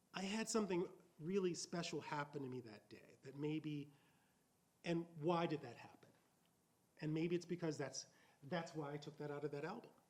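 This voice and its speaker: A man's fairly high voice in an American accent, at a moderate pace with ordinary pitch variation. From US South, Mississippi. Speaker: author. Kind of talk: Q&A answer.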